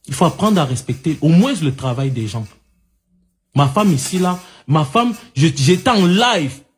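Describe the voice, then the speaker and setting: A loud man, fairly high-pitched, at a fairly slow pace with very wide swings in pitch. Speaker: online live commentator. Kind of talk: heated debate.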